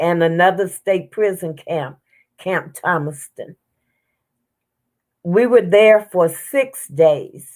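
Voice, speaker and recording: In a Southern US accent, a woman speaks at a very slow pace with a medium pitch. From US South. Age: 70s. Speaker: civil rights activist. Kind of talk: interview testimony. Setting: livestream.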